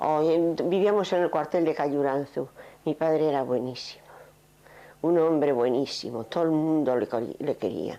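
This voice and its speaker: A woman's very deep, low voice, dark and mellow in tone, with ordinary pitch variation, very even loudness and a moderate pace. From Navarre and Irún, Basque Country, Spain. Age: 70s. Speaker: interviewee recalling Civil War childhood. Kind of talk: oral history interview.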